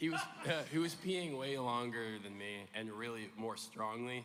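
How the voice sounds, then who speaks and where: A man's medium-pitched voice, with ordinary pitch variation and a moderate pace, comes through audible room echo and noticeable background noise. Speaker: content creator. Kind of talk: live panel chat. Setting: stage with audience.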